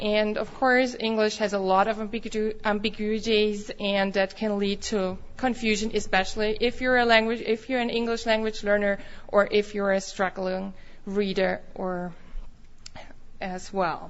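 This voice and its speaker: Audible room echo surrounds a woman speaking at a moderate pace with monotone, flat intonation. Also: fairly high pitch for a woman. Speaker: foreign language teacher and researcher. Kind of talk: conference lecture. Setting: conference room with audience. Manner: halting, with self-corrections.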